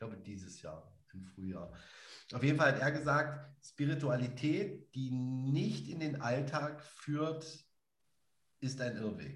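The delivery is very slow and somewhat breathy. Loudness swings widely while pitch varies in an ordinary way. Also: man. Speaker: podcast co-host and spiritual practitioner. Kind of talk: casual conversational podcast. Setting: live podcast recording.

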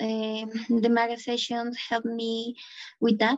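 High-pitched woman with a Bolivian accent, in a dry, close sound with no echo. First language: Spanish. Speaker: engineering student. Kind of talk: interview answers.

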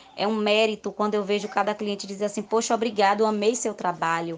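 Here is a woman with an unremarkable speaking voice. Her medium pitch follows fairly even intonation. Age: 30s. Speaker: beauty salon owner. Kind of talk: interview.

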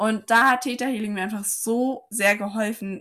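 Here a woman speaks at medium pitch with ordinary pitch variation. The recording is very clean, the background silent. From Saarland, Germany. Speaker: physiotherapist and life coach. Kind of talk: casual interview chat.

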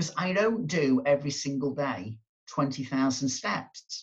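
A man with a fairly high pitch sounds somewhat breathy and uses lively intonation. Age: 50s. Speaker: motivational speaker and coach. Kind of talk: interview.

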